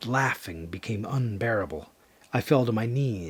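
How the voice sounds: The speaker has a natural reading voice. The intonation is lively.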